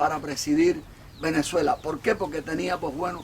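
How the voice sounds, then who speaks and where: Noticeable noise runs behind a man as he talks. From Cuba. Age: 60s. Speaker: political commentator. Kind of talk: monologue.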